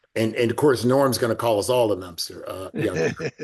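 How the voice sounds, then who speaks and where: The man's voice sits at a medium pitch, somewhat breathy, with an American accent. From US South. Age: 70s. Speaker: former quarterback. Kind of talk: casual chat.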